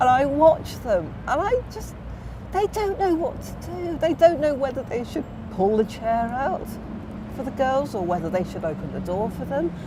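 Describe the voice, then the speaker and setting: A high-pitched woman at a moderate pace, with very wide pitch swings, big swings in loudness and noticeable background noise. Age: 60s. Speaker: guest discussing gender roles, mother of seven. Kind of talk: casual interview chat.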